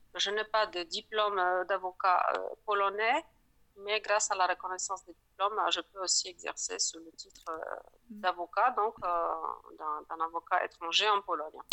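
In a Polish accent, a woman speaks at a fairly slow pace with medium pitch and fairly even intonation. Her volume swings widely. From Poland. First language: Polish (speaking French). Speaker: lawyer. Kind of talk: interview. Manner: hesitant, many fillers.

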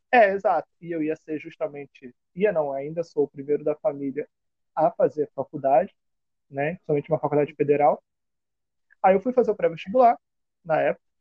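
At a moderate pace, a man with a fairly high pitch speaks with ordinary pitch variation and long, frequent pauses. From Brazil, Rio de Janeiro (Campo Grande). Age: 20s. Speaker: history student and community prep-course teacher. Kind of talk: casual interview.

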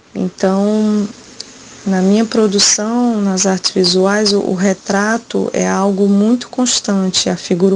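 A woman's medium-pitched, monotone, flat voice at a very slow pace, with noticeable background noise. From Brazil, Ceará backlands (Quixadá). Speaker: poet and visual artist. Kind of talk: recorded interview.

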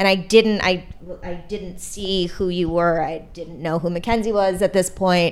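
A woman has an unremarkable speaking voice at medium pitch. She talks at a fairly slow pace with fairly even intonation. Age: 40s. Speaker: podcast host. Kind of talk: casual interview. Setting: artist's studio.

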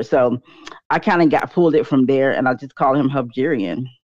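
With an American accent, a woman speaks at a moderate pace in a very deep, low voice. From North Carolina. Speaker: YouTuber and author. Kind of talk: casual interview.

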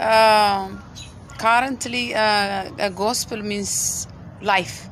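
Someone with an Ethiopian accent speaks at a very slow pace over noticeable background noise. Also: woman. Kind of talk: testimony.

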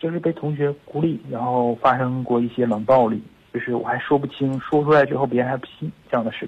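A man with a plain, everyday voice talks fairly quickly, his medium pitch carrying fairly even intonation. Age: 20s. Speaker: caller. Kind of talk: phone call. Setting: phone call.

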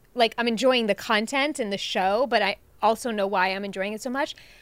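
In a very clean recording with a silent background, a woman with an American accent speaks with ordinary pitch variation. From Long Island, New York. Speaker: podcast co-host. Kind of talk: casual chat.

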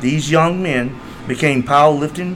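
A man's fairly high-pitched voice at a fairly slow pace, with fairly even intonation and noticeable background noise. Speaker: powerlifting coach. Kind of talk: interview conversation.

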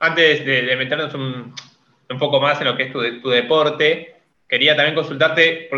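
Using a normal speaking voice, a man talks at a fairly high pitch. His pace is moderate and his intonation fairly even. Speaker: podcast co-host. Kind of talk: interview.

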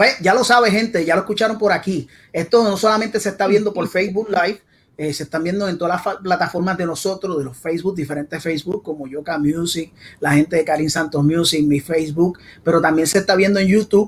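A man's high voice in a Puerto Rican accent, very fast, with ordinary pitch variation. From Puerto Rico (San Juan). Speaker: salsa podcast host. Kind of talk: casual interview. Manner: animated.

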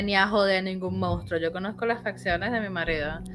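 Over music in the background, a woman speaks at a moderate pace with a Venezuelan accent. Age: 30s. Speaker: podcast host. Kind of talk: personal storytelling.

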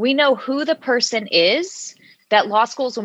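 A woman's bright, sharp tone at a moderate pace, dry and close with no echo. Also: quiet background. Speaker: law school admissions consultant. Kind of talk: casual chat. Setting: remote call.

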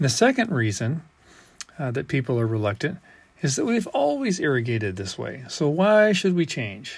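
This man's somewhat breathy voice moves through very wide pitch swings. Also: moderate pace. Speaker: water rights engineer. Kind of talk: scripted narration.

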